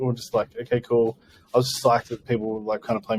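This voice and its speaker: A man with an Australian accent mumbles at a medium pitch, in a dry, close recording with no echo. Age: 30s. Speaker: post-rock guitarist. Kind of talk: casual interview chat. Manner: mumbling; hesitant, many fillers.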